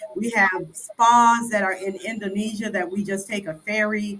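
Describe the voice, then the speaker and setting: A woman's bright, sharp tone in a monotone, flat delivery. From Chicago, US. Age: 60s. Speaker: expat guest. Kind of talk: interview conversation.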